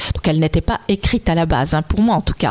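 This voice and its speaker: The speech moves at a fairly quick pace. The sound is dry and close with no echo, though background noise is noticeable. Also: woman. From Côte-d'Or, Burgundy. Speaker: author of legend collections. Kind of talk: interview, storytelling.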